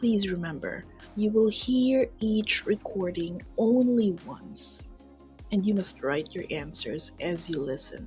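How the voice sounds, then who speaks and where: A woman talks at a very slow pace. Music plays in the background. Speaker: English teacher. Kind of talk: exam instructions narration.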